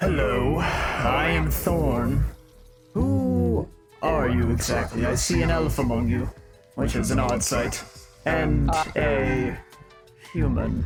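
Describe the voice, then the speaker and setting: Over clear music in the background, a man puts on a character voice with a very deep, low pitch. He speaks at a very slow pace. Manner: commanding, inquisitive.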